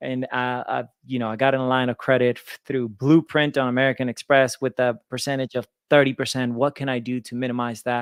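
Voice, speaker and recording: A man speaks with a slight Venezuelan accent. The recording is very clean and dry, close with no echo and a silent background. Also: medium pitch for a man, fairly quick pace. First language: Spanish. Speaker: lender and business owner. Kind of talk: interview. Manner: energetic.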